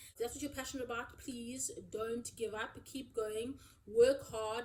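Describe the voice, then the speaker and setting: A woman's high-pitched voice, dark and mellow in tone, with ordinary pitch variation. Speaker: chef and cooking youtuber. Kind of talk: casual Q&A chat to camera. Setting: seated at home filming video. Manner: loud, excitable.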